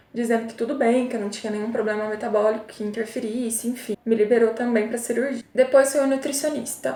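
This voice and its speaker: Noticeable background noise sits behind a woman's fairly high voice. She speaks at a fairly quick pace with fairly even intonation. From interior of São Paulo state, Brazil. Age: 20s. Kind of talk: casual talk to camera.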